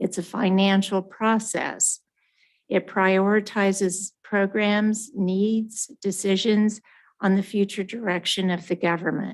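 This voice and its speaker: Speaking at a very slow pace, a woman with a medium pitch keeps her loudness very even and her intonation monotone and flat. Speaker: town finance staff presenting budget. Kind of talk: formal budget presentation. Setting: town board meeting, also streamed on Zoom.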